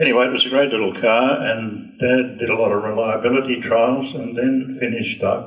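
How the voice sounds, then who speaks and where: A man speaks with an Australian accent at a fairly slow pace. Audible echo fills the room. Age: 90s. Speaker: racing driver and car maker. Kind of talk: casual talk to a club audience. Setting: lunch gathering with audience.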